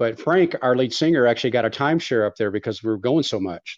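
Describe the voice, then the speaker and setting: Against a quiet background, a man with an ordinary speaking voice and an American accent talks at a fairly quick pace, medium in pitch with ordinary pitch variation. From Texas. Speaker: country band musician. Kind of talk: casual interview.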